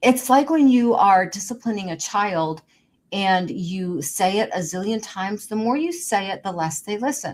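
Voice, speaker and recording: The woman's voice sits at a medium pitch with lively intonation. Her pace is moderate. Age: 60s. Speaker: podcast host. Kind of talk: motivational monologue. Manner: emphatic, repetitive.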